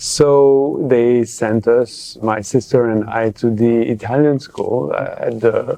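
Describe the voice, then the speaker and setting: A man with a non-native accent at a medium pitch, a very slow pace and hardly any pauses, over noticeable background noise. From Geneva, Switzerland. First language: French. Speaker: public health professor, journal editor. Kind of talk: interview. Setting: conference. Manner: halting, many fillers.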